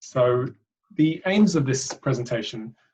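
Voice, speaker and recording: The man's voice comes across as somewhat breathy. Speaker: charity director and PhD researcher. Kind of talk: webinar presentation.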